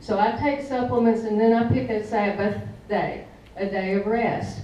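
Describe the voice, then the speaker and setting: A woman speaks fairly slowly in a fairly high voice with a Southern US accent. Noticeable background noise and audible room echo surround her. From US South, Blytheville, Arkansas. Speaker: essential oils product user giving a talk. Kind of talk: presentation to an audience.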